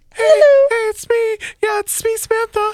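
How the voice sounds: A man speaks in a put-on character voice, squeaky and extremely high-pitched. His pace is moderate.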